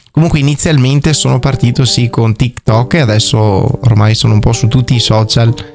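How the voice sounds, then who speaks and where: Medium-pitched male speech at a fairly quick pace, with ordinary pitch variation, very even loudness and music in the background. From Veneto, Monselice (Padua province). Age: 20s. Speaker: comedian and social media creator. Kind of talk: radio interview.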